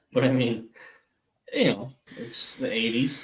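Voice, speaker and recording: A man with an American accent at a fairly slow pace. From US Midwest, Wisconsin. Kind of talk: casual chat. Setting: live stream.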